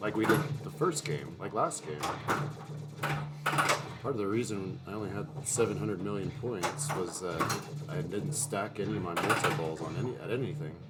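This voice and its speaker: A mumbling man at a fairly low pitch and a moderate pace, with very wide pitch swings, audible room echo and noticeable background noise. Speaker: pinball streamer. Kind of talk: live gameplay commentary.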